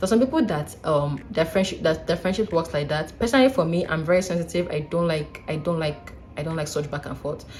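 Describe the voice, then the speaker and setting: Very fast and with hardly any pauses, a woman speaks in an animated tone at a fairly low pitch, with ordinary pitch variation. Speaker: vlogger, doctor. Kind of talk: casual advice vlog.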